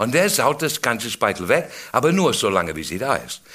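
Vocal fry runs through a man's bright, sharp tone as he talks at a moderate pace. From England. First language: English (speaking German). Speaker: comedian. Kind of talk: stand-up.

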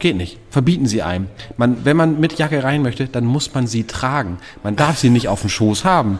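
A man's ordinary speaking voice at medium pitch, moderate pace and lively intonation. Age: 30s. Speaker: podcast co-host. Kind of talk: casual chat. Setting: pub.

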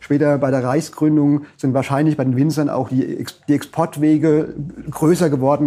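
Fairly high in pitch, a man with an unremarkable speaking voice talks at a moderate pace with fairly even intonation. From Palatinate, Germany (Frankenthal). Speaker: dialectologist and publisher. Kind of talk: interview conversation.

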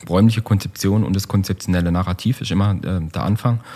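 Ordinary pitch variation in the dark, mellow tone of a man. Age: 40s. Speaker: architect and urban planner. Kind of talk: casual interview. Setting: meeting room. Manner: hesitant, many fillers.

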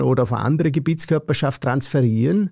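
The sound is dry and close with no echo, and a man speaks at a moderate pace with a fairly high pitch. His tone is dark and mellow, with ordinary pitch variation. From Austria, Vorarlberg. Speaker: professor of land policy. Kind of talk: interview.

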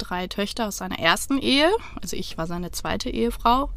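Using an unremarkable speaking voice, a woman speaks at a fairly slow pace with a fairly high pitch. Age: 30s. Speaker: divorced interviewee. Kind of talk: casual chat. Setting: inside a parked camper van.

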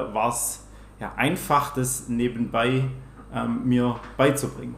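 Heard with audible room echo, a man of medium pitch talks with a slight Swabian accent. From Swabia, Germany. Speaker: trader and volunteer firefighter. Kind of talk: interview answers. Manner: trying to speak standard German.

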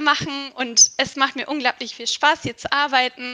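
Raising and projecting her voice, a woman speaks at a high pitch with a bright, sharp tone. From Turkey, Istanbul. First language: Turkish (speaking German). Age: 20s. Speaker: HR analytics project manager, psychologist. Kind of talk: interview.

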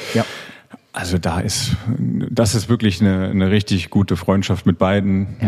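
A man's very deep, low voice at a moderate pace, very even in loudness, with ordinary pitch variation and noticeable background noise. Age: 30s. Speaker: professional handball player. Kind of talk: casual interview. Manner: hesitant, many fillers.

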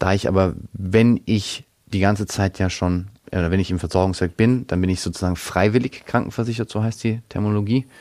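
A man speaks at a fairly quick pace with a fairly low pitch. The recording is very clean, with a silent background. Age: 20s. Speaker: financial consultant. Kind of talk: interview. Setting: studio. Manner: hesitant, many fillers.

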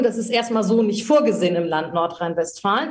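Noticeable background noise runs under this recording. A woman speaks over it with lively intonation. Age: 50s. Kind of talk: interview.

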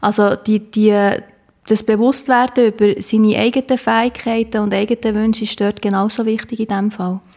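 A woman's fairly high-pitched voice at a moderate pace, with monotone, flat intonation. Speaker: podcast host. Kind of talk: interview.

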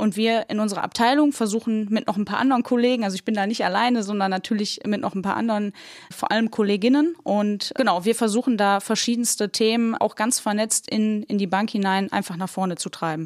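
A woman with a normal speaking voice talks at a fairly quick pace and a fairly high pitch, with ordinary pitch variation and hardly any pauses. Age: 20s. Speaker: bank innovation manager. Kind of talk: casual discussion. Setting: podcast studio.

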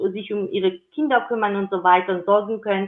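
A woman speaks with a Georgian accent. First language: Georgian (speaking German). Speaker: intercultural career advocate. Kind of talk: interview.

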